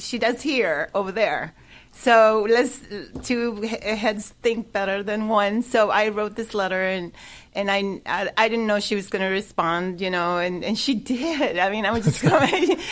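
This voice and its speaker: A woman's fairly high voice with a Spanish accent, fairly slow and with ordinary pitch variation, on a very clean recording against a silent background. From El Salvador. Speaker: charity project manager. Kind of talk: radio interview. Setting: radio studio.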